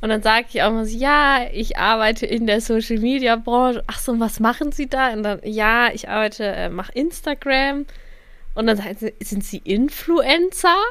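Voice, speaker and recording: A woman with a plain, everyday voice talks at a moderate pace and a fairly high pitch. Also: ordinary pitch variation. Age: 20s. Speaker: podcast co-host, social media worker. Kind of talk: casual chat.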